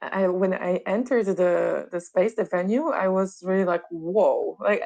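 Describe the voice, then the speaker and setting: A woman's fairly slow speech at a very even loudness. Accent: Polish. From Poland. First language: Polish. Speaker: sound therapist. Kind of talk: interview conversation.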